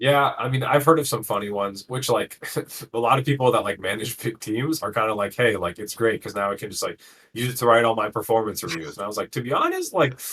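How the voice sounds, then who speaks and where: A man of medium pitch talks very fast, with ordinary pitch variation. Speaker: tech team vice president, guest. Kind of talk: casual chat.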